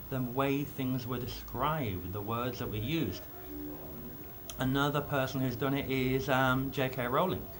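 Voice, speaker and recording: A man of medium pitch talks at a moderate pace with ordinary pitch variation, and audible room echo surrounds him. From England (born in Belfast). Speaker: author. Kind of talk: video blog talk on writing. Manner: casual, with some hesitations.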